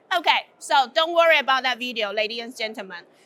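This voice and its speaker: A woman uses a raised, projected voice with an animated tone and very wide pitch swings. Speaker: conference speaker. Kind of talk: conference talk. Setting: stage with audience. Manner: loud.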